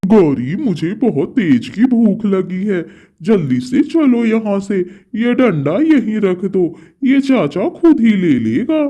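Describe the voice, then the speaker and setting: A man does a cartoonish character voice pitched high. His pace is fairly slow. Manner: sly, playful.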